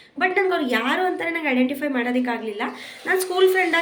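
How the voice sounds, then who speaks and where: A woman with ordinary pitch variation, noticeable background noise and audible room echo. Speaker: pregnant vlogger. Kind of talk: casual vlog. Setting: outdoors on the road.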